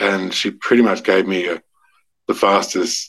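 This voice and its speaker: The speaker talks at a moderate pace with an Australian accent. The intonation stays fairly even. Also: man. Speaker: novelist. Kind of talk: casual interview. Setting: remote call. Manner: halting, repeats words.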